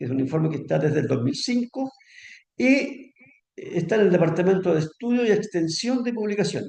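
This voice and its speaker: Talking at a fairly quick pace, a man with a high voice makes very wide pitch swings. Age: 70s. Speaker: pension advisor. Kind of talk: lecture. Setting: seminar with audience. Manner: conversational, frequent fillers.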